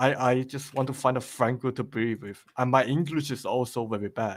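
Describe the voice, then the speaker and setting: The speaker has a slight Chinese accent. The pace is moderate and the intonation fairly even. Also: man. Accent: faint Chinese. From China, moved to Australia late primary school. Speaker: game level creator. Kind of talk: podcast interview. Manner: halting, many repetitions.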